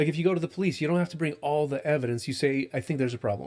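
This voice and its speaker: A man's very fast, lively speech, fairly high in pitch, with vocal fry. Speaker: cannabis testing lab founder. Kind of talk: podcast interview.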